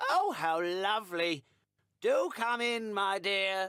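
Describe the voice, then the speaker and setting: Putting on a croaky character voice, a man speaks at a high pitch and a very slow pace. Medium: read story.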